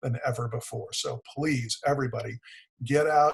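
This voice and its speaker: A man has an ordinary speaking voice, medium pitch and fairly even intonation, talking at a fairly quick pace with an American accent. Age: 60s. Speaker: economic development executive. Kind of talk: webinar presentation.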